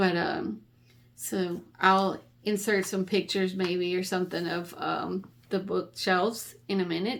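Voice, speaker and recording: A woman speaks at a fairly slow pace with vocal fry and ordinary pitch variation, on a very clean recording with a silent background. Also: medium pitch for a woman. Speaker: book vlogger. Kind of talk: casual monologue to camera. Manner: hesitant with many ums; warm and friendly.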